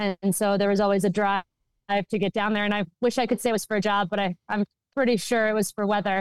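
The background is quiet as a woman with an American accent talks at a fairly quick pace. She has an ordinary speaking voice at a medium pitch. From Minnesota, US. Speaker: hockey executive and former lawyer. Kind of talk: interview answers.

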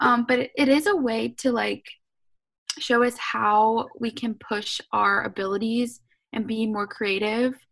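Using a normal speaking voice, a woman with an American accent speaks at a fairly slow pace with a fairly high pitch. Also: fairly even intonation. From US South, Savannah, Georgia. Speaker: fashion student and YouTuber. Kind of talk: casual chat.

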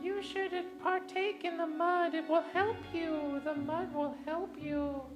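Over loud background noise, someone uses a put-on character voice at an extremely high pitch and a fairly slow pace. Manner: coaxing, inviting.

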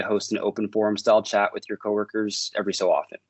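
A man with a Maritime Canadian accent, talking at a very fast pace. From Maritimes, Canada. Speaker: service management consultant. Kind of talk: podcast interview.

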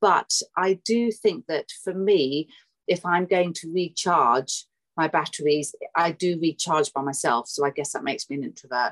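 A woman's fairly low voice in a British accent, lively in intonation, with a dry, close sound and no echo. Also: moderate pace. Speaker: book editor and home-educating mother. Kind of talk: casual interview.

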